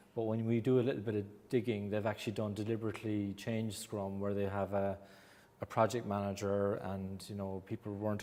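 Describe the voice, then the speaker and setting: Speaking at a very fast pace with an Irish accent, a man uses a fairly low pitch, a dark, mellow tone and monotone, flat intonation. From Ireland. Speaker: agile coach and consultant. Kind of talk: presentation to audience.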